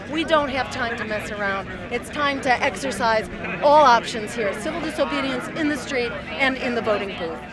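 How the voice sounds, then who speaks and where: Crowd noise sits in the background, yet the sound is dry with no echo. A woman speaks at a moderate pace with ordinary pitch variation. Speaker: activist giving press interview. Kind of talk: interview answer. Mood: earnest, persuasive. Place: street. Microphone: handheld.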